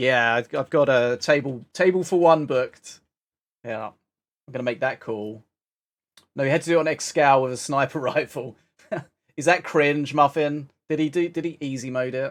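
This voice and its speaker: A man with a British accent, fairly high-pitched, with ordinary pitch variation at a moderate pace on a very clean recording with a silent background. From Britain. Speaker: game streamer. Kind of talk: casual live stream chat. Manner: animated.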